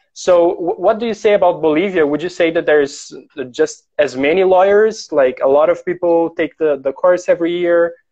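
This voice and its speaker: This voice carries a Portuguese accent. It moves at a moderate pace. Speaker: interviewer and translator. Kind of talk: bilingual interview on a livestream.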